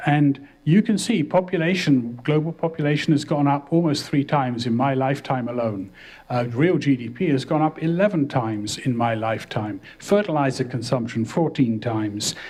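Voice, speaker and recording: With an unremarkable speaking voice, a man talks at a moderate pace and a fairly high pitch, using lively intonation and hardly any pauses. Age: 60s. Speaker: professor. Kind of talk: lecture.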